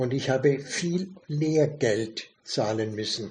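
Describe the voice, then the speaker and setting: Lively intonation marks a man's medium-pitched voice. He speaks at a very slow pace. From Germany, Lower Franconia. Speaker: retired bookshop owner. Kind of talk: casual interview.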